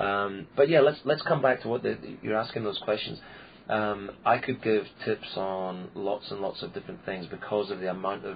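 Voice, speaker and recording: At a moderate pace and a fairly low pitch, a man with a Scottish accent speaks with ordinary pitch variation over noticeable background noise. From Scotland, Peebles near Edinburgh. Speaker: clown and entertainer. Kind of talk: interview.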